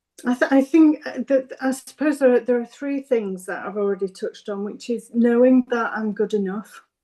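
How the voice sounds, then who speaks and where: A woman with a Yorkshire accent speaks in a high voice with a dark, mellow tone. Her pace is moderate, her pitch varies in an ordinary way, and she hardly pauses. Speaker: business owner, psychotherapy service co-founder. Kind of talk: interview. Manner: halting.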